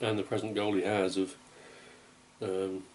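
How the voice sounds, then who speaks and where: In a monotone, flat intonation, a man talks at a moderate pace with a very deep, low pitch. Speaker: home vlogger. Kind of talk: casual vlog chat. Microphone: phone near.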